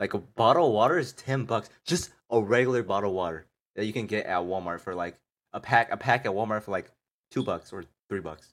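A man's unremarkable speaking voice, fairly low in pitch, with lively intonation at a fairly quick pace, on a very clean recording with a silent background. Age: 20s. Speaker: podcast host, college student. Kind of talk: casual chat. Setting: live stream.

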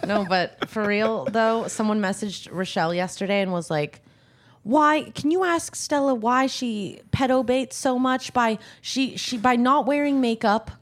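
An ordinary speaking voice from a woman, fairly high pitch, moderate pace and lively intonation. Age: 20s. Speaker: podcast guest. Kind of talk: casual chat.

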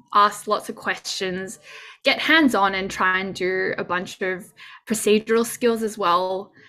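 A woman with an Australian accent, bright and sharp in tone, at a medium pitch and a fairly slow pace. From Sydney, Australia. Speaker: junior doctor. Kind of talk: interview.

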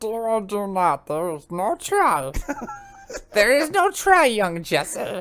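In a put-on character voice, a female-sounding speaker talks raspily at a fairly slow pace, her pitch medium.

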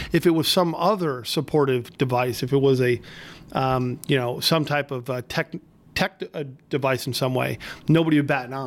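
A man with a fairly high pitch and an unremarkable speaking voice talks at a moderate pace with ordinary pitch variation. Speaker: state legislator podcast host. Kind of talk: casual interview chat. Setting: studio.

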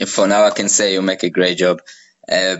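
A man with an Israeli accent speaks at a moderate pace. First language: Hebrew. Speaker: podcast host. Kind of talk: interview. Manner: hesitant, many fillers.

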